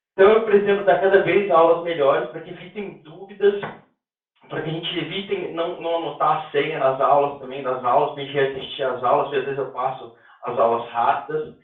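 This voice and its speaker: In a room with audible echo, a man speaks at a fairly quick pace with ordinary pitch variation and big swings in loudness. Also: fairly high pitch for a man. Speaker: instructor teaching a rehabilitation technique course. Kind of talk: online lecture. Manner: fast.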